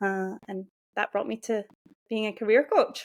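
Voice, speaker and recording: On a very clean recording with a silent background and a dry, close sound with no echo, a woman speaks in a Scottish accent at a fairly high pitch. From Scotland. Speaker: career and mindset coach. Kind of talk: interview.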